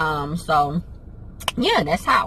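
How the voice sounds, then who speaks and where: Noticeable background noise runs beneath a woman speaking with an American accent. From New Jersey and Pennsylvania. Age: 30s. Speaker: vlogger and travel business owner. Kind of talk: casual Q&A vlog.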